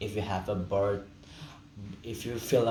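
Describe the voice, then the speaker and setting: Audible room echo fills the space as a man talks at a fairly low pitch. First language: Indonesian or Balinese. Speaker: student. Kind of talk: class presentation, unscripted. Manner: halting.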